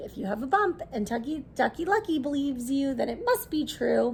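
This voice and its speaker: A woman's raspy, high put-on character voice with very wide pitch swings at a fairly quick pace, over clear background noise. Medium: read story.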